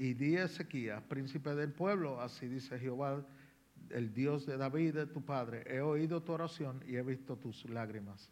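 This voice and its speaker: A man talks at a moderate pace with a Spanish accent. His pitch varies in an ordinary way. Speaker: visiting preacher. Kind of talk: sermon. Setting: church.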